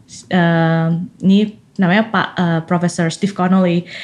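A woman speaks in a somewhat breathy voice. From Indonesia, Malang (East Java). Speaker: scientist. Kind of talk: interview. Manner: frequent code-switching into English.

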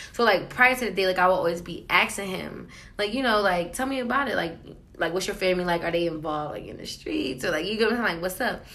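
With an American accent and lively intonation, a woman talks at a very fast pace and medium pitch in audible room echo. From Queens, New York and New Jersey. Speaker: podcast co-host. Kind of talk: casual chat.

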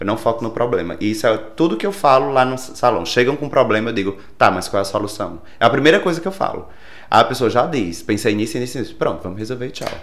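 A man speaks at a very fast pace with lively intonation. Audible room echo surrounds his voice. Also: medium pitch for a man. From Brazil, Rio Grande do Norte interior (Caicó). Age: 30s. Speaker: hairdresser and salon owner. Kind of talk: interview.

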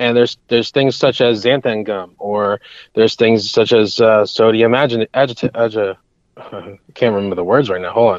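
A man's medium-pitched voice at a moderate pace, with an American accent, against a quiet background. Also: dry, close sound with no echo. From US Northeast (New York state). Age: 20s. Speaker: chef and psychic. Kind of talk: casual interview. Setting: remote call. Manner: enthusiastic.

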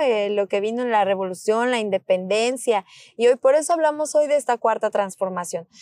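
Over a silent background on a very clean recording, a woman speaks with a Mexican accent at a fairly high pitch. Her pitch variation is ordinary, and the sound is dry and close with no echo. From Mexico, Michoacán (Morelia). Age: 30s. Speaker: politician. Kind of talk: interview.

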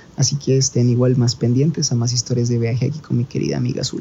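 At a fairly quick pace, a man talks in an ordinary speaking voice. His pitch sits in the medium range. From Colombia. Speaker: traveler. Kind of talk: storytelling monologue. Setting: recording from India.

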